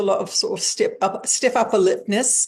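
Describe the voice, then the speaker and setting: An English accent comes through. Behind it, all is quiet. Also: woman. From England. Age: 60s. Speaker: spiritual teacher and channel. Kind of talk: interview.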